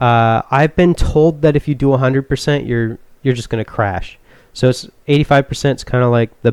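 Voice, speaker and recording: Soft-spoken and dark, mellow in tone, a man talks at a moderate pace with medium pitch and ordinary pitch variation in a very clean recording with a silent background. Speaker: youtuber. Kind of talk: tutorial. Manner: casual, halting.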